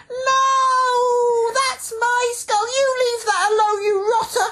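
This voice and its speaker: The voice is a put-on character with extremely high pitch. It moves at a very slow pace. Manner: ghostly, indignant.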